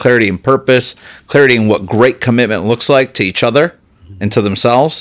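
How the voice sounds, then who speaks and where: A man's ordinary speaking voice at medium pitch, with a fairly quick pace, ordinary pitch variation, and a very clean recording over a silent background. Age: 30s. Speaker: podcast host, CEO. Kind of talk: interview.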